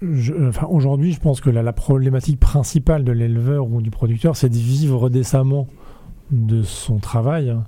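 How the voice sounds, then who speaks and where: At a moderate pace, a man with medium pitch and ordinary pitch variation speaks in a dark, mellow, somewhat breathy tone. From France, Rennes. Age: 30s. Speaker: food innovation network manager. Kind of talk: casual interview.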